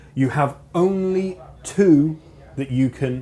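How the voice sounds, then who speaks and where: A man with a southern English accent speaks at a fairly high pitch. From southern England. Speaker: motorsport commentator. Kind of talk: live commentary.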